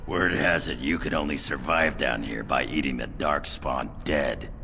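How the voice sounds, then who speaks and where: A man puts on a character voice at a moderate pace. Loud background noise sits behind him. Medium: video game. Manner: blunt, coarse, sneering.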